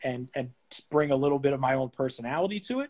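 This man has an American accent and a fairly high pitch, and he sounds somewhat breathy. He talks at a fairly quick pace, in a dry, close sound with no echo. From Boston, Massachusetts. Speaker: sports ticket salesman. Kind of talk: interview. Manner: halting.

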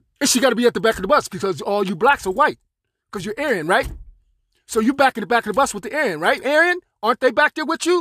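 A man with an American accent speaks at an extremely high pitch and a very fast pace, in a raised, projected voice. His bright, sharp tone stays animated, with very wide pitch swings. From Pittsburgh, Pennsylvania. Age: 60s. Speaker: podcaster. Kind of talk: angry monologue. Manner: halting.

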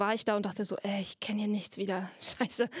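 A fairly high-pitched woman at a moderate pace, in a very clean recording with a silent background. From Saxony, Germany (Freiberg). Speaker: puppeteer and actress. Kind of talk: casual interview chat. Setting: studio in a theater basement.

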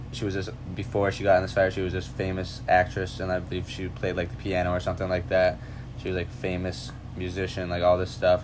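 Very deep and low, a man's voice races along at a very fast pace with ordinary pitch variation. Room echo is audible, and there is noticeable background noise. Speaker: college student podcast host. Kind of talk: casual chat.

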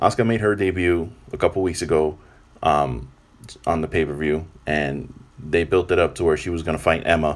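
Vocal fry runs through this fairly quick delivery, with ordinary pitch variation. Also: man. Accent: American. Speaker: podcast host, wrestling reviewer. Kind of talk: casual monologue review. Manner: kept to medium volume.

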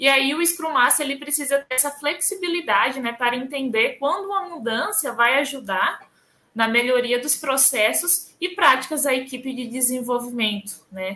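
A woman with a northeastern Brazilian accent uses a raised, projected voice at a high pitch. Her intonation is lively and her pace moderate. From Northeast Brazil. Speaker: scrum master. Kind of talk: interview.

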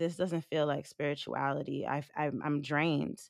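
A woman with a New York accent speaks at a very deep, low pitch in a monotone, flat intonation, on a very clean recording with a silent background. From US Northeast (Long Island, New York). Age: 30s. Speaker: stripper and trafficking survivor. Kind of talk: testimony.

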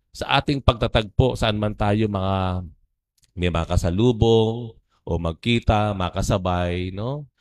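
A man talks at a very slow pace with ordinary pitch variation. The recording is very clean, with a silent background and a dry, close sound with no echo. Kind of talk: homily. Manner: casual.

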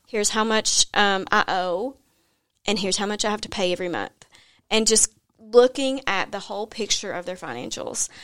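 A woman with an American accent speaks at a moderate pace in a medium pitch, with ordinary pitch variation. The recording is very clean, with a silent background. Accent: Southern US, slight now. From US South, Tennessee. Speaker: money coach and podcaster. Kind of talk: casual interview chat.

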